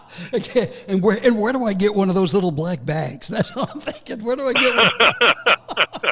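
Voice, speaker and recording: A man's high-pitched, raised, projected voice, animated in tone with lively intonation and hardly any pauses, over noticeable background noise. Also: moderate pace. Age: 70s. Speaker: comedian. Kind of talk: interview.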